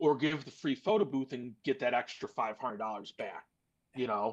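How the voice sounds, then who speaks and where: A man talks at a moderate pace in a fairly high pitch. It is a normal speaking voice. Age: 30s. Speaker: mobile DJ and photo booth business owner. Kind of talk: podcast discussion.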